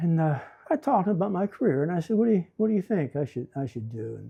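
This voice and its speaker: A man with an American accent talks at a fairly quick pace, his voice somewhat breathy and his intonation lively, against a quiet background. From western Pennsylvania, Beaver County. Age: 70s. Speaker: retired educator and YouTuber. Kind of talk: casual DIY tutorial with storytelling. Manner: halting, with frequent fillers and repetitions.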